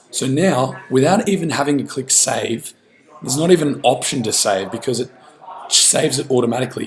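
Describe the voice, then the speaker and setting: Against noticeable background noise, a man with a medium pitch talks at a moderate pace with ordinary pitch variation. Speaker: business coach. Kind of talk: tutorial. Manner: casual.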